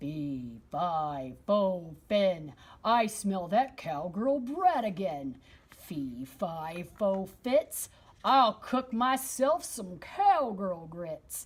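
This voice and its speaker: Using a put-on character voice, a woman with a medium pitch speaks at a very slow pace. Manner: thundering.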